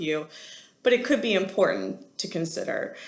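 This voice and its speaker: A woman talks at a fairly quick pace in a fairly low pitch, with audible room echo. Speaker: college instructor. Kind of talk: lecture. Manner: fast.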